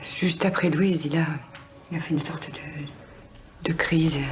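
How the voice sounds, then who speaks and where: A woman speaks at a moderate pace in a fairly low voice with monotone, flat intonation. Noticeable background noise runs under her speech. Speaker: actress. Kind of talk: acting showreel of dramatic scenes.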